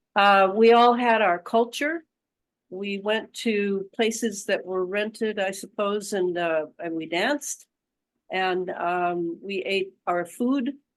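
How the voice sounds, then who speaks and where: Against a quiet background, a woman with a Midwestern accent speaks at a very slow pace with ordinary pitch variation. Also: medium pitch for a woman. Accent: American Midwest. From Detroit, Michigan, US (Romanian immigrant household). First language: Romanian. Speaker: author and researcher. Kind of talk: interview.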